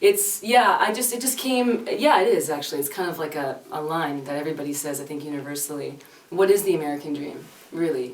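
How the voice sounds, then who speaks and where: A woman with a very deep, low pitch speaks at a fairly quick pace with lively intonation and a slight Canadian accent. The recording carries noticeable background noise and audible room echo. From Canada. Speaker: singer-songwriter. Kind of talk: casual interview chat. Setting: reverberant music room. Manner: hesitant, many fillers.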